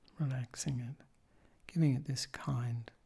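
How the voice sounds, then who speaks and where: This man speaks at a very slow pace in a calm, somewhat breathy voice. His tone is dark and mellow, and his intonation fairly even. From Australia. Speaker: Buddhist monk and meditation teacher. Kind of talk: guided meditation instruction. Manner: slow, calm, soft-spoken, with long pauses.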